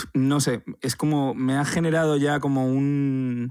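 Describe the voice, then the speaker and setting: With a very clean recording and a silent background, a man with medium pitch talks at a fairly slow pace in an ordinary speaking voice, his intonation fairly even. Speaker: podcast co-host, documentary filmmaker. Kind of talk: casual chat.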